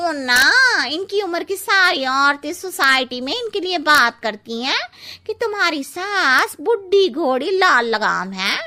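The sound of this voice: Using a cartoonish character voice, a woman speaks at a slow pace with few pauses, a high pitch, big pitch swings and a bright, sharp tone.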